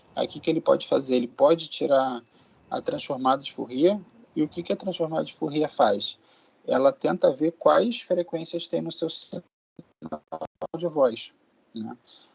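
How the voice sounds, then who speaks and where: The sound is dry and close with no echo as a man talks at a moderate pace with long, frequent pauses. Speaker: university lecturer. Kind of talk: lecture. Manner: casual, filler-heavy.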